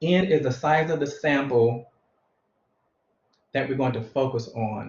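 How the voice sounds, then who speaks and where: This man's voice is fairly high in pitch and somewhat breathy. He speaks at a fairly slow pace with ordinary pitch variation. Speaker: math teacher. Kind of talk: lecture. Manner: slow and methodical.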